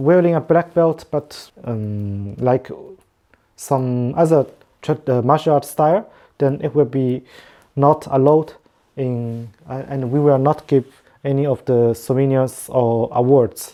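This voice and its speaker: Speaking with a non-native accent, a woman uses a very deep, low pitch and ordinary pitch variation at a fairly slow pace with long, frequent pauses. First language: not English. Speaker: competition organizer. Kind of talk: online meeting presentation. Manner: halting, many fillers.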